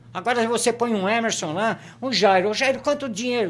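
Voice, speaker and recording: An animated man at a high pitch with ordinary pitch variation, amid noticeable background noise. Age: 60s. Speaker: football fan commentator. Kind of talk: casual chat.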